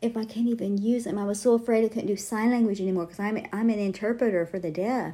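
With an American accent, a woman speaks at a medium pitch in a somewhat breathy voice with a dark, mellow tone. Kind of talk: casual rambling book reading and devotional talk, with fervent prayer near the end. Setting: home studio, recorded as a library podcast. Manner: fervent, emotional, praying aloud with urgency; rambling, ad-libbed, with frequent fillers.

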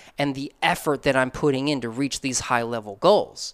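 This is a man with an unremarkable speaking voice. He speaks at a fairly high pitch and moderate pace. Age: 30s. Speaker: creative entrepreneur and mentor. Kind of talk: casual interview.

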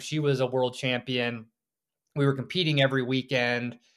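This man has a normal speaking voice at medium pitch, with fairly even intonation and a moderate pace. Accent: American. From US South. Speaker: author and off-grid homesteader. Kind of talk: interview.

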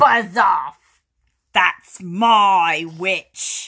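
In a put-on character voice, a female-sounding speaker growls with a croaky, shrill sound at medium pitch. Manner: menacing, scolding.

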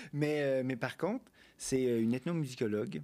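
Dark, mellow male tone at a moderate pace, very clean recording, silent background. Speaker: ethnomusicologist and postdoc researcher. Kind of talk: casual chat.

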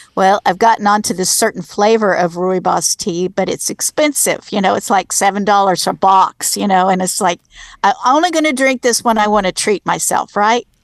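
This woman has an unremarkable speaking voice, pitched at a medium level. She keeps a moderate pace with ordinary pitch variation. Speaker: podcast co-host. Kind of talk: casual interview chat.

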